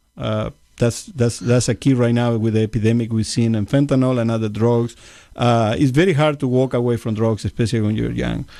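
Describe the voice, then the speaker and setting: Against a quiet background, a man with a Uruguayan accent speaks fairly quickly at a medium pitch, with a dark, mellow tone and fairly even intonation. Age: 50s. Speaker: congressional candidate. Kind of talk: interview. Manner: halting.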